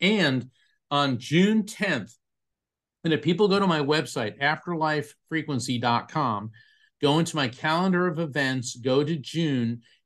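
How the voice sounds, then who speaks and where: Against a quiet background, a man with an unremarkable speaking voice and an American accent speaks at a moderate pace and fairly high pitch, his intonation lively. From Florida, US. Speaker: psychic medium and author. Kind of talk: interview.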